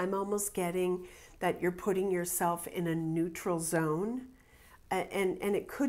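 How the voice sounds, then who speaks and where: At a fairly slow pace, a woman speaks at a fairly low pitch with ordinary pitch variation. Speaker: tarot reader. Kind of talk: tarot reading commentary. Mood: calm, reflective.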